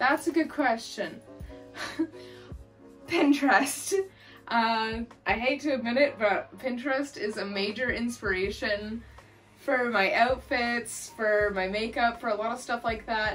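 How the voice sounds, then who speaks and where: A woman with ordinary pitch variation over faint music in the background. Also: fairly slow pace. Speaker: goth makeup youtuber. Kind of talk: casual vlog chat. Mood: cheerful, chatty. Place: home room. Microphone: camera far.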